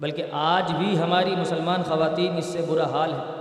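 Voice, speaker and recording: Monotone, flat speech with audible room echo and noticeable background noise. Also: man. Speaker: Islamic preacher. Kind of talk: Quran commentary lecture. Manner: stern tone.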